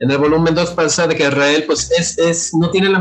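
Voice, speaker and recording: A man's high-pitched voice at a moderate pace over noticeable background noise. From Mexico, Guadalajara (Jalisco). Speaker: illustrator and graphic designer. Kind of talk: casual chat. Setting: remote video call.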